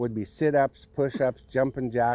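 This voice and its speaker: Over light background noise, a man speaks at a medium pitch with fairly even intonation. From Cowichan, Vancouver Island, British Columbia, Canada. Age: 60s. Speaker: First Nations knowledge keeper and cultural educator. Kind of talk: documentary interview answer. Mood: calm, reflective.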